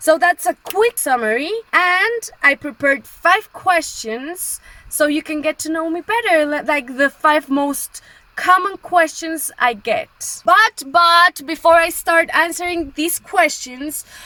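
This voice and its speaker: With a raised, projected voice, a woman speaks very slowly at an extremely high pitch with lively intonation, in a dry, close sound with no echo over noticeable background noise. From Colombia. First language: Spanish. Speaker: travel vlogger. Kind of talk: casual vlog talk to camera.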